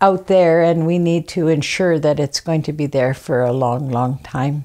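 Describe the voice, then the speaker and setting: At a moderate pace, a woman speaks with a very deep, low pitch, ordinary pitch variation and a dark, mellow tone. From Fort Rupert, British Columbia, Canada. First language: Kwak'wala. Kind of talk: interview testimony. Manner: halting, many fillers.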